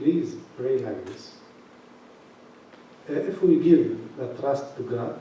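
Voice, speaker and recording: A man speaks very slowly with long, frequent pauses and big swings in loudness, and audible room echo surrounds him. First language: not English. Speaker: bishop. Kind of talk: question and answer session. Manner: halting.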